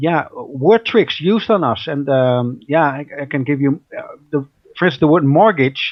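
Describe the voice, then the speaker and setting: A man with a Dutch accent talks at a moderate pace in a fairly high pitch. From Netherlands. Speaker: researcher and radio host. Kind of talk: interview. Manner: hesitant, many fillers and repetitions.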